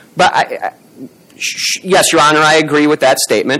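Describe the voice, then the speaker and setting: A male speaker comes through with noticeable noise in the background. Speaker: appellate lawyer. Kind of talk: courtroom oral argument. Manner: halting.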